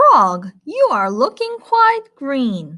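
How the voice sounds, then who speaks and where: Her pitch sits high. The woman performs a put-on character voice. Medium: read story.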